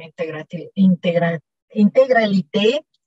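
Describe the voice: A woman in a Mexican accent, slightly mellow in tone, with a dry, close sound and no echo.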